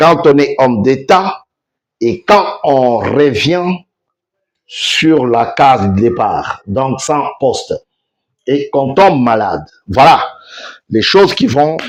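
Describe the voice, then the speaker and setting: In a Congolese accent, a man talks at a very slow pace. His pitch is fairly high, with lively intonation. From DR Congo. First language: Tshiluba (speaking French). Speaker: online news host. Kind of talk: news commentary show.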